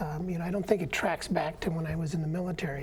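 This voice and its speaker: Noticeable background noise and audible room echo surround a man's high-pitched voice. His intonation stays fairly even. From Minnesota, Saint Paul. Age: 70s. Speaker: union activist and peace veteran. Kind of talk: interview. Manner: halting, many fillers.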